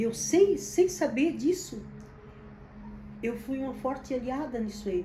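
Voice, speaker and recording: A woman speaks at a fairly slow pace with lively intonation, and the room echo is audible. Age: 70s. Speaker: business founder. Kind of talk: personal testimony and advice to camera. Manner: halting, with repetitions.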